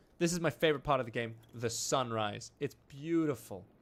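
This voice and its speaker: Speaking with an American accent, the man lets his pitch vary in an ordinary way. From Australia. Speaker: gaming streamer and actor. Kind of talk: live gameplay stream. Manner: casual, chatty.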